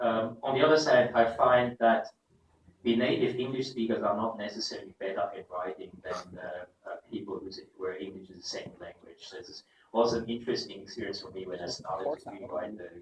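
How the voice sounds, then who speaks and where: Loudness swings widely in this man's speech. He moves at a fairly quick pace. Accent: German. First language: German. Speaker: professor. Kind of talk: keynote lecture.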